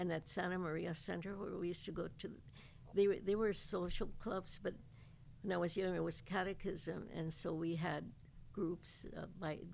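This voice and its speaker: In an American accent, a woman with vocal fry and a fairly low pitch speaks in a flat monotone, with audible room echo. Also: moderate pace. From East Los Angeles, US. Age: 80s+. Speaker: altar maker and folk artist. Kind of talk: interview storytelling. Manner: halting.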